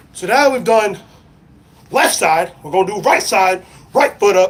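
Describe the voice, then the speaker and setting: A man talks in an animated tone with lively intonation, noticeable noise sounding behind him. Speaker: football coach. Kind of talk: tutorial. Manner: projecting coaching voice.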